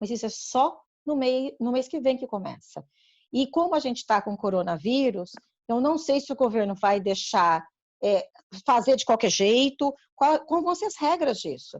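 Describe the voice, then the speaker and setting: A woman speaks at a moderate pace against a quiet background. Her pitch is high, with very wide swings. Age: 60s. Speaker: community council member. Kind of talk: informative panel discussion.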